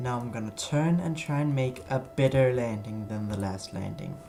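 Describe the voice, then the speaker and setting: Audible room echo and noticeable background noise surround a man of medium pitch speaking with a Danish accent. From Denmark. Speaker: flight sim streamer. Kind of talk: live stream gameplay commentary. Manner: halting.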